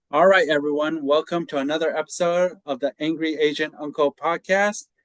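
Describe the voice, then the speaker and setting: This is a normal speaking voice with an American accent. The pace is moderate. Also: man. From United States. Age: 40s. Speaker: podcast host. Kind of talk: interview.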